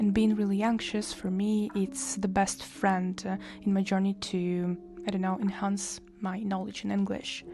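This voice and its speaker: Her intonation stays fairly even at a medium pitch, with a non-native accent. Background noise is noticeable behind the woman. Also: fairly slow pace. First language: Russian. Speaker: English teacher. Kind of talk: tutorial. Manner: hesitant with fillers.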